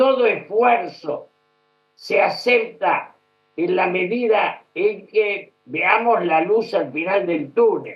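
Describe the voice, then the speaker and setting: This man has a high pitch. He talks at a very slow pace. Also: ordinary pitch variation. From Argentina. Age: 80s+. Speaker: former politician, political commentator. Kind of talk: news interview.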